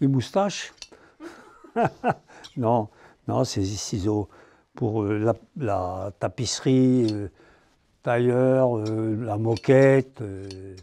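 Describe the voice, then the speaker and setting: A man with a dark, mellow tone speaks at a medium pitch with ordinary pitch variation. His pace is very slow, broken by long, frequent pauses. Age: 80s+. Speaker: scissor maker. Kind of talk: interview answer.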